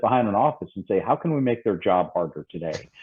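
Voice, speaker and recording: Here a man speaks with a Southern US accent. His pace is fairly quick. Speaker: safety consultant. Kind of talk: podcast interview.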